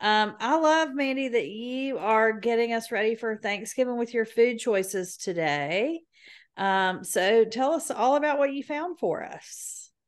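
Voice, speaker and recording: A woman talks at a fairly slow pace with lively intonation and a fairly high pitch. The background is quiet. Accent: Southern US. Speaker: podcast co-host. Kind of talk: casual chat.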